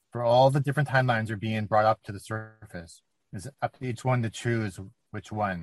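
Speaking in a normal speaking voice, a man talks at a fairly quick pace with big swings in loudness. His pitch is medium with ordinary variation, and the sound is dry and close with no echo. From Canada. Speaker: channeler. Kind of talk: channeled message. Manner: formal.

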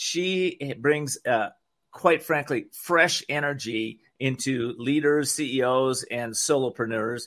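Recorded very cleanly with a silent background, a man talks at a moderate pace with a medium pitch and ordinary pitch variation. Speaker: radio talk show host. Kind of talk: live-read radio infomercial for a CBD product. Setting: radio studio. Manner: warm, friendly pitchman tone, pitching with soothing conviction; casual and slightly halting, with frequent fillers.

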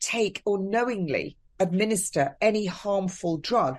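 A woman with a southern English accent speaks at a medium pitch with lively intonation over a quiet background. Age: 50s. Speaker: nurse. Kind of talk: interview.

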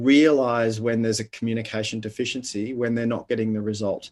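In an Australian accent, a man talks at medium pitch against a quiet background. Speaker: leadership coach and author. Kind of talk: interview conversation.

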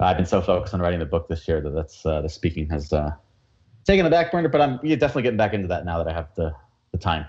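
Somewhat breathy and delivered at a very fast pace, this voice has lively intonation and an American accent. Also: man, very deep, low pitch for a man. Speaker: entrepreneur coach and speaker. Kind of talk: interview chat.

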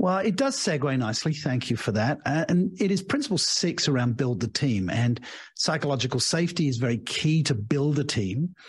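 A man with an English accent talks fairly quickly at a fairly high pitch, somewhat breathy. His intonation is lively and his loudness very even. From England. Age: 60s. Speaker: leadership coach and author. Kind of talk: interview.

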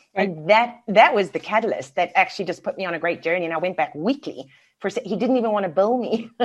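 With a South African accent, a woman speaks at a very fast pace and medium pitch. Her intonation is lively against a quiet background. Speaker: business mentor and coach. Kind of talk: casual interview chat.

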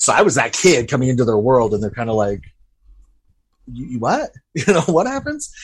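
Pausing long and often, a man with an American accent speaks at a medium pitch and a moderate pace, his somewhat breathy voice carrying lively intonation. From US, Utah. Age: young. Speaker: filmmaker. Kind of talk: interview about personal trauma.

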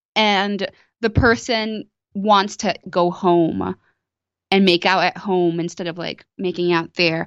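A woman speaks at a very slow pace with a medium pitch. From Brazil, Sao Paulo. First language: Portuguese. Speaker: actress and comedian. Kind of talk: casual chat.

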